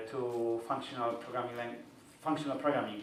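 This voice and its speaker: The speaker has a Polish accent, heard with audible room echo and noticeable background noise. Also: man. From Poland. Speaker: software developer, conference speaker. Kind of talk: conference talk. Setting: stage with audience. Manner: halting, with frequent repetitions.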